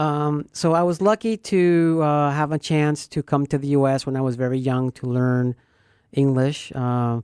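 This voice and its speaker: A woman with a slight Venezuelan accent speaks at a very deep, low pitch in a dark, mellow tone and at a fairly slow pace. The recording is very clean, with a silent background and a dry, close sound with no echo. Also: ordinary pitch variation. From Venezuela, Caracas. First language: Spanish. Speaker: radio host and realtor. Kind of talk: casual chat.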